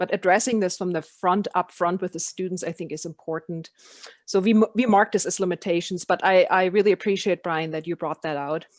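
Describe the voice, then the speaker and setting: This woman talks at a fairly quick pace, her medium pitch held in fairly even intonation. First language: not English. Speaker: education program facilitator. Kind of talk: online meeting discussion.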